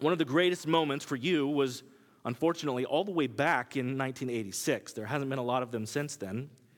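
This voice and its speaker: In a very clean recording with a silent background, a man speaks in an ordinary speaking voice with an American accent. He talks at a fairly quick pace, with ordinary pitch variation. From Kansas. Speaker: preacher. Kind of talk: sermon. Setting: church.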